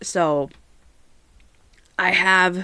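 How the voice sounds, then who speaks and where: A loud woman's voice at a medium pitch, bright and sharp in tone, on a very clean recording with a silent background. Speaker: podcast host. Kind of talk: casual solo podcast chat. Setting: home recording on camera. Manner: chatty, talkative.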